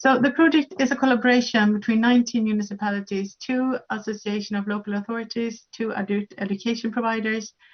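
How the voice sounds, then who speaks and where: Her speech comes very fast, in a fairly high, somewhat breathy voice. The woman's intonation stays fairly even. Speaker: conference speaker. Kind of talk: conference presentation. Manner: halting with fillers.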